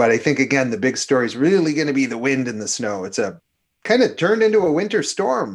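In an Upper Midwest accent, a man talks very fast in a fairly high voice with very wide pitch swings, against a quiet background. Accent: Upper Midwest (Minnesota). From Minnesota. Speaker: climatologist. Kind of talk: interview about weather. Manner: animated.

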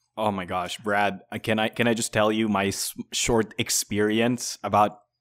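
On a very clean recording with a silent background, the voice moves at a moderate pace in a flat monotone. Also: man. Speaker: podcast co-host and game critic. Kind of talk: casual chat.

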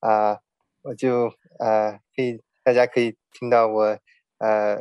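A man's very slow speech, with a dry, close sound and no echo. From born in China, raised overseas from age 9. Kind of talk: personal testimony interview. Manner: halting, many fillers.

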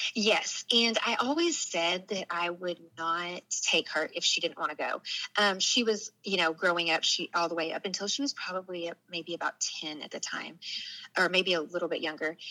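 A woman with a Southern US accent speaks at a fairly low pitch and a moderate pace, with ordinary pitch variation. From Arkansas, US South. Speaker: storyteller guest, former law enforcement worker. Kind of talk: personal testimony interview.

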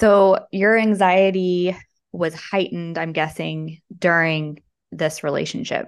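A woman's normal speaking voice, fairly low in pitch, at a fairly slow pace with fairly even intonation, over a quiet background. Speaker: podcast host and breakup coach. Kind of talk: casual interview chat.

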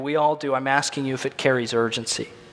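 Speaking at a very fast pace, a man with an American accent has a bright, sharp tone. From Illinois. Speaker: pastor. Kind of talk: sermon.

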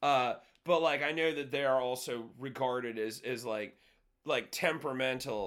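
A man with an American accent has an unremarkable speaking voice at medium pitch. He speaks at a moderate pace with fairly even intonation. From California. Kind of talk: casual chat. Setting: video call.

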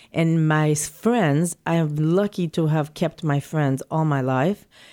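The voice has a slight non-native accent and a dark, mellow tone at a very slow pace. The recording is very clean, with a silent background. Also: woman. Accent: slight foreign. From not from New York City. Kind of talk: casual interview. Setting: showroom in Manhattan.

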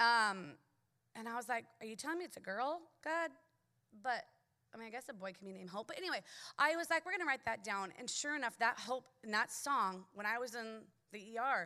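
A woman speaks in an animated, bright, sharp tone with lively intonation and big swings in loudness, her pitch fairly high. Her pace is fairly quick, broken by long, frequent pauses. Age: 30s. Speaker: church member. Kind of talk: testimony. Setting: stage with audience.

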